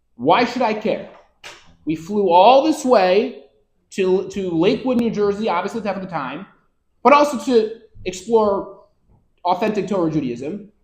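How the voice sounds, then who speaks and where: With lively intonation and an American accent, a man talks in a high-pitched voice while audible room echo fills the recording. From US Northeast (Rochester, New York). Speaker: rabbi and Torah lecturer. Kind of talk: lecture.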